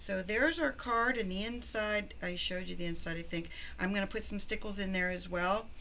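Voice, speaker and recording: A woman at a medium pitch and a fairly quick pace, with ordinary pitch variation and audible room echo. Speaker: crafting video host. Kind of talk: tutorial. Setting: at home.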